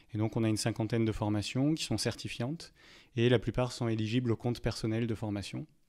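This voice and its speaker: A man's dark, mellow voice at medium pitch and a fairly quick pace, on a very clean recording with a silent background. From southern France, Montpellier. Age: 30s. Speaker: HR director and e-learning expert. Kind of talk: podcast interview. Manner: hesitant, many filler sounds.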